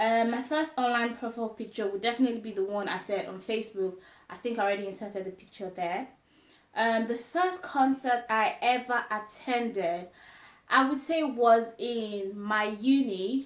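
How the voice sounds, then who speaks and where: This speaker has a Yoruba accent and a moderate pace. The pitch varies in an ordinary way. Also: woman, fairly high pitch for a woman. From Nigeria (grew up in Jos). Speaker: lifestyle vlogger. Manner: hesitant with fillers.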